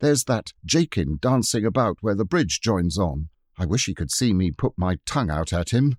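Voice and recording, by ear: Reading aloud in a natural voice with lively intonation over a quiet background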